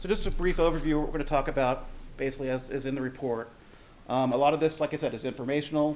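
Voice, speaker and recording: This man talks at a medium pitch with fairly even intonation. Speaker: utility finance consultant. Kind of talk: presentation. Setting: meeting room with audience. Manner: fast.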